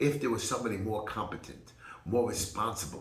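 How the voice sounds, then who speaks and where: A man with a New York accent talks at a fairly quick pace and a fairly low pitch, with ordinary pitch variation. Noticeable background noise and audible room echo surround him. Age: 50s. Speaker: political candidate. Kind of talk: campaign speech. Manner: animated.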